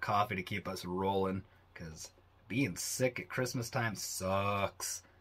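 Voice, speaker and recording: A man with a Canadian accent speaks at a fairly slow pace in a fairly low pitch with a bright, sharp tone, fairly even intonation and big swings in loudness, on a very clean recording with a silent background. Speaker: podcast host. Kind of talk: solo podcast talk. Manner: low energy.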